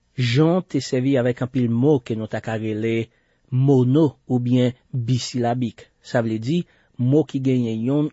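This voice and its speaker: With a Haitian accent, a man at medium pitch speaks at a very slow pace with fairly even intonation. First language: Haitian Creole (speaking French). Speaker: radio Bible teacher. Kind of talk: Bible teaching broadcast.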